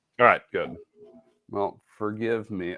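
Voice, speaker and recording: Fairly slow speech from a man, quiet background behind him. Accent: Midwestern. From Wisconsin. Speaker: sewing and embroidery presenter. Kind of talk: live craft tutorial. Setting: home studio, live video broadcast.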